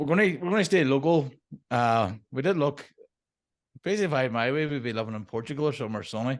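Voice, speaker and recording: Speech in a Derry accent runs at a very fast pace with lively intonation. Long pauses come frequently. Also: man, fairly high pitch for a man. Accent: Northern Irish (Derry). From Northern Ireland, Derry. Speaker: permaculture designer. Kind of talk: interview.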